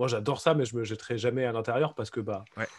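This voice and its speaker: A man's unremarkable speaking voice, medium in pitch, with ordinary pitch variation. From France. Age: adult. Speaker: board game designer. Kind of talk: casual chat.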